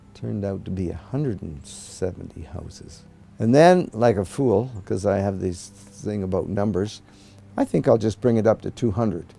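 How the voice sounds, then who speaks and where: Speaking at a moderate pace with ordinary pitch variation and a Canadian accent, this voice comes over music playing in the background. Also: man. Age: 70s. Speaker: volunteer bird conservationist. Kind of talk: documentary interview. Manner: halting.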